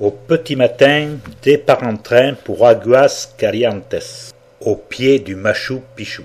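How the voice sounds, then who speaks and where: A man speaks very slowly, his loudness swinging widely. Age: 60s. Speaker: travel video narrator. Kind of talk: travelogue narration.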